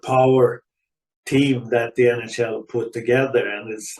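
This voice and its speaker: A man with a Swedish accent speaks at a fairly slow pace in a medium pitch, his intonation flat and monotone. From Sweden. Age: 70s. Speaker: retired ice hockey player. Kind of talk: podcast interview.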